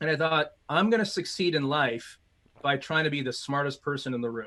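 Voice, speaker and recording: Spoken at a fairly quick pace with a Midwestern US accent, the voice shows ordinary pitch variation on a very clean recording with a silent background. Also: man, fairly high pitch for a man. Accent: General American, Midwestern. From US Midwest (Illinois, Chicago suburbs). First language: Mandarin. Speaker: corporate strategist and speaker. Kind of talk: interview.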